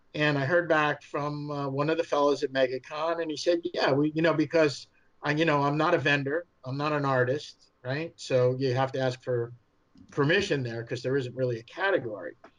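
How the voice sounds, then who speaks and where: A New York accent at a moderate pace, with fairly even intonation. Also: man, fairly high pitch for a man. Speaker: fan film studio head. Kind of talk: podcast interview. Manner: hesitant, many fillers.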